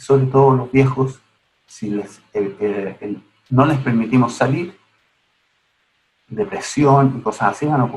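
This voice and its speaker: The voice has lively intonation. It sounds somewhat breathy. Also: man. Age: 60s. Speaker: gerontology researcher. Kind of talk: online lecture. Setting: online seminar. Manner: halting.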